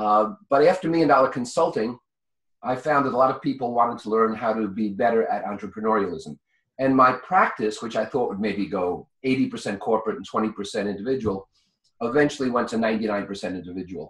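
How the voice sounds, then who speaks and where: A man in a New York accent, medium-pitched, with ordinary pitch variation and a very fast pace. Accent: New York speech pattern. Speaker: business consultant and author. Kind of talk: interview.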